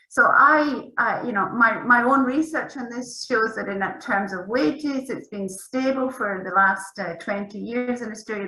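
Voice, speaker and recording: A woman's fairly high voice at a moderate pace, with ordinary pitch variation, hardly any pauses, big swings in loudness and noticeable background noise. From Scotland. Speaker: academic researcher. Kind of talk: panel discussion.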